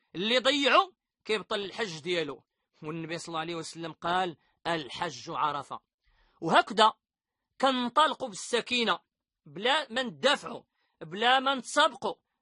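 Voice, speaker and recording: Moderate pace with long, frequent pauses over a quiet background. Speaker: religious teacher. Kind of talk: religious lesson on pilgrimage rites.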